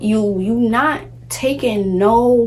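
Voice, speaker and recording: Over music in the background, a woman speaks in a New York accent with ordinary pitch variation. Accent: New York City. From Brooklyn, New York City. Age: 20s. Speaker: lifestyle vlogger. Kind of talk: casual talk to camera.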